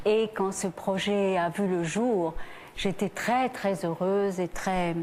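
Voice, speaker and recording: There is noticeable background noise throughout. The woman's delivery is very slow. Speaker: actress and singer. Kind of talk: TV talk show interview answer.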